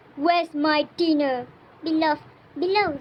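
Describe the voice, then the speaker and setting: A woman puts on a gruff character voice pitched high. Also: moderate pace. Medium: read story. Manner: gruff, bellowing.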